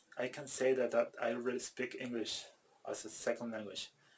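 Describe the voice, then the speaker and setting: A man with a Spanish accent, medium pitch, fairly even intonation. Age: 30s. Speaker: language learner vlogger. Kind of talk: personal vlog monologue. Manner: halting, many repetitions and fillers.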